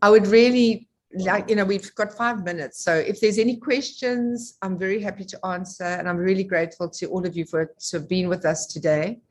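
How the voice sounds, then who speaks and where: A woman in an ordinary speaking voice, medium-pitched, at a fairly quick pace with hardly any pauses and ordinary pitch variation. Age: 60s. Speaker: network marketing leader. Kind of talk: online presentation.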